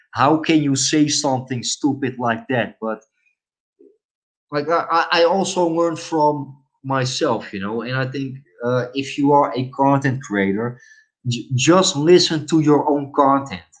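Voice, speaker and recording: Someone with a Dutch accent speaks at a fairly slow pace with ordinary pitch variation. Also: man, fairly high pitch for a man. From Netherlands. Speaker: live streamer. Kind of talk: casual live stream chat. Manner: hesitant, many fillers.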